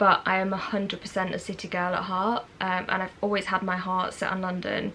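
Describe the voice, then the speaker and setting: A woman speaks at a fairly quick pace with noticeable background noise around her. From English Midlands, near Birmingham. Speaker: vlogger. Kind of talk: casual Q&A vlog. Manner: chatty, with many fillers.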